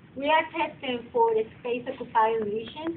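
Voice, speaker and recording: A woman speaks with a high pitch and a non-native accent, her pitch varying in an ordinary way. There is noticeable background noise and audible room echo. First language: not English. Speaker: massage therapy instructor. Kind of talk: lecture.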